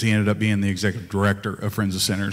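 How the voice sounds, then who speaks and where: A man is speaking in a room with audible echo. Music plays in the background. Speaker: pastor. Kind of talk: casual church remarks. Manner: loud.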